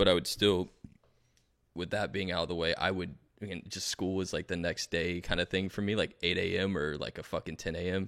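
A man with an American accent in a very deep, low pitch, flat and monotone, at a fairly quick pace, on a very clean recording with a silent background. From South Florida. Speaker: musician. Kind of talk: casual chat.

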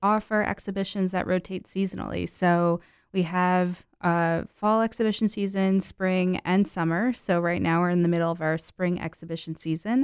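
On a very clean recording with a silent background, a woman speaks at a moderate pace in an ordinary speaking voice, her pitch medium and its variation ordinary. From New Jersey (Mount Olive, northwest). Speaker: museum staff. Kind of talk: casual radio interview.

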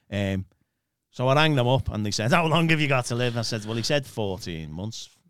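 With a British accent, a man speaks fairly quickly and with lively intonation in a very clean recording over a silent background. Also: medium pitch for a man. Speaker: church minister. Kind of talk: casual conversation.

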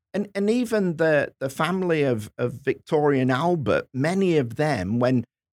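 With an English accent, a man speaks at a fairly slow pace with very wide pitch swings, the sound dry and close with no echo. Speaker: history professor and podcast co-host. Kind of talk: casual chat.

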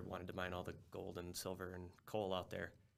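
A man with a very deep, low pitch speaks in an American accent, with audible room echo. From Minnesota, US Midwest. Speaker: engineer and commercial real estate investor. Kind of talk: casual interview.

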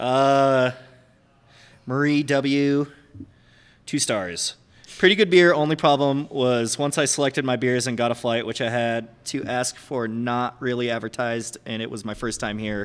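A man speaks in a plain, everyday voice at a medium pitch. His pace is fairly slow, with ordinary pitch variation. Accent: American. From upstate New York. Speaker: head brewer. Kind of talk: casual interview chat. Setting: on location in a brewery.

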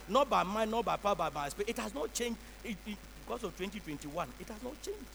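A high-pitched man speaks at a very fast pace amid noticeable background noise. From Ghana. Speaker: bishop, pastor. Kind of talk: sermon. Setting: church. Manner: repetitive, emphatic.

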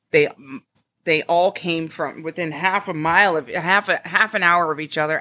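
Her pitch very deep and low, a woman with an American accent speaks at a moderate pace in a bright, sharp tone with fairly even intonation. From Connecticut, US Northeast. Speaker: chef. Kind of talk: interview.

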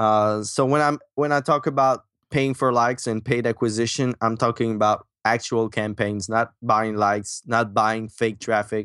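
A man with a Quebec accent speaks at medium pitch and a moderate pace, with fairly even intonation. He leaves hardly any pauses, and the sound is dry and close with no echo. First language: French. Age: 20s. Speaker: marketing entrepreneur and author. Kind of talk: casual interview. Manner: halting, many fillers.

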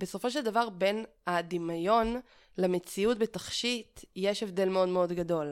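A woman speaks at a fairly slow pace in an unremarkable speaking voice. Her pitch is medium, with ordinary pitch variation. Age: 30s. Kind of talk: interview. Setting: at home.

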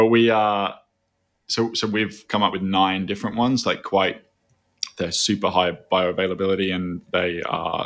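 With an Australian accent, a man talks in a fairly low pitch and a monotone, flat intonation. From Australia, Byron Bay (New South Wales). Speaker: food company CEO. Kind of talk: casual chat.

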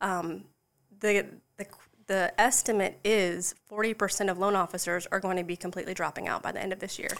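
A woman with a South Carolina accent, monotone and flat in intonation, at a fairly quick pace. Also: medium pitch for a woman. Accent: US Southern, South Carolina. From South Carolina Lowcountry, Charleston area. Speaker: mortgage loan professional. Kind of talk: casual interview.

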